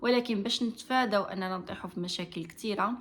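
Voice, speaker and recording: A woman with a Moroccan accent speaks at a fairly quick pace. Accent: Moroccan Darija. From Morocco. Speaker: vlogger giving marriage advice. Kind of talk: advice monologue to camera. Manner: hesitant, frequent fillers.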